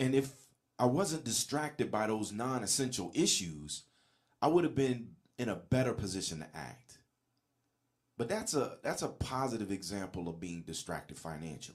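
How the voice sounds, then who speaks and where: Showing vocal fry, a man at a medium pitch speaks at a moderate pace with very wide pitch swings. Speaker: motivational podcast host. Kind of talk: solo podcast monologue. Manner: casual, conversational.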